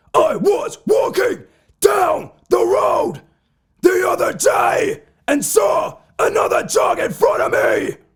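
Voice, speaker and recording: A man shouting in a raspy, put-on character voice at an extremely high pitch and a fairly slow pace. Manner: barking, screaming like a dog.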